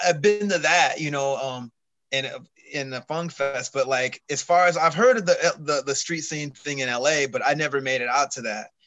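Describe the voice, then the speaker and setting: A man with an American accent and a fairly high pitch talks at a moderate pace with ordinary pitch variation. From Long Beach, California. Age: 40s. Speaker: bassist. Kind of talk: casual chat.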